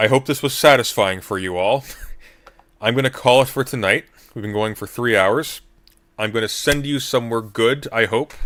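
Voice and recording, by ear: A man's hoarse, put-on character voice at medium pitch, a moderate pace, ordinary pitch variation, and long, frequent pauses.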